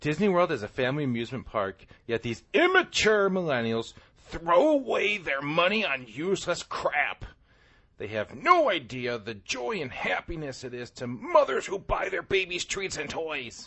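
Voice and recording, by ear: Projecting a raised voice, a man does a put-on character voice at a fairly high pitch and a moderate pace.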